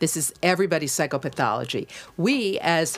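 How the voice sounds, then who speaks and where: A woman with a fairly low pitch talks in an American accent at a fairly quick pace. Hers is a normal speaking voice with lively intonation. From United States. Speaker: broadcaster and entrepreneur. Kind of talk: casual chat.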